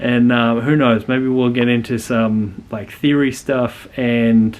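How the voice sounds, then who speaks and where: Fairly slow speech in an Australian accent. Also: man. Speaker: youtuber, educational channel creator. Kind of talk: casual channel intro monologue. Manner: hesitant, many fillers.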